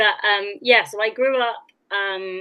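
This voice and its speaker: A woman's very slow speech with a slight West Country accent. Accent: slight West Country twang. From West Country, England (Oxfordshire/Gloucestershire border). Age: 30s. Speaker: actress. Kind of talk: interview guest, personal storytelling.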